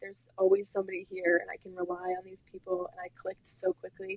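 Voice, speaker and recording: Recorded with a dry, close sound and no echo, a woman speaks at a medium pitch in a Wisconsin accent. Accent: Wisconsin accent, noticeable vowels. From Wisconsin, US. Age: young. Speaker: student athlete. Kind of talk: podcast interview. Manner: casual, many fillers like 'like'.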